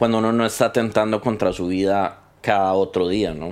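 The speaker uses fairly even intonation in a Costa Rican accent. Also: man. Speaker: podcast editor sharing mental health experience. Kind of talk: personal testimony in interview. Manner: halting, with repetitions.

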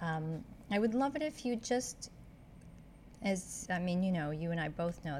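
At a moderate pace, a woman speaks in a somewhat breathy, fairly low voice with ordinary pitch variation. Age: 50s. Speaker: podcast host. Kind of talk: casual interview.

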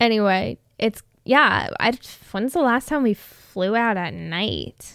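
In an American accent, a woman at a medium pitch speaks at a very slow pace, the sound dry and close with no echo. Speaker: podcast co-host. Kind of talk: casual chat. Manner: chatty, laughs a lot.

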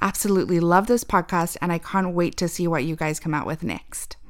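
A woman talks with fairly even intonation in a normal speaking voice. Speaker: podcast co-host. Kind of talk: casual chat.

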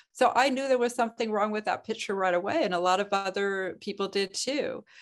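A woman with a plain, everyday voice, medium pitch, ordinary pitch variation and a fairly quick pace. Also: quiet background. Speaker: physician and writer. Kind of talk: interview discussion.

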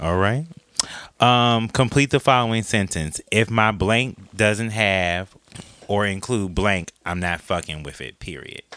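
A man speaks fairly slowly in a normal speaking voice, fairly low in pitch with ordinary pitch variation. His loudness swings widely. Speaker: podcast host. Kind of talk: casual chat.

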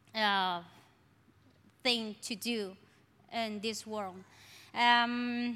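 A woman with a strong Colombian accent speaks very slowly, with long, frequent pauses. Her tone is bright and sharp, her intonation monotone and flat. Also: fairly high pitch for a woman. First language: Spanish. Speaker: church member. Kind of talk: testimony. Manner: halting.

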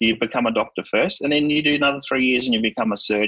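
In an Australian accent, a man speaks with a dry, close sound and no echo. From Australia, Melbourne. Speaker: cybersecurity executive. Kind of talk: casual interview.

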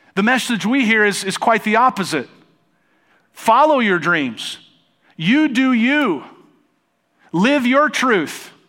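A man with a high, bright and sharp voice projects it loudly at a very slow pace with lively intonation. He leaves long, frequent pauses in a very clean recording with a silent background. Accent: American. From United States. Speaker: pastor. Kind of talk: sermon. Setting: church stage with congregation.

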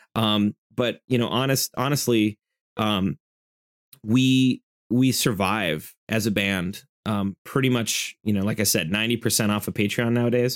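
An ordinary speaking voice from a man, medium in pitch with ordinary pitch variation, comes at a fairly slow pace with very even loudness, in a dry, close sound with no echo, on a very clean recording with a silent background. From US Midwest. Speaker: metal band frontman and festival organizer. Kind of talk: casual interview chat.

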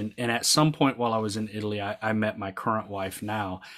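A man talks at a medium tempo. The background is silent on this very clean recording. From US South. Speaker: army veteran. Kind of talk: interview. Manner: halting.

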